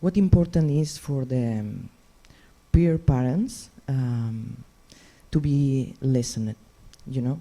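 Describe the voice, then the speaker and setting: A woman's dark, mellow voice with a Catalan Spanish accent and lively intonation. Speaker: patient organisation representative. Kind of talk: reading aloud. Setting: stage with audience. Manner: halting, non-fluent English.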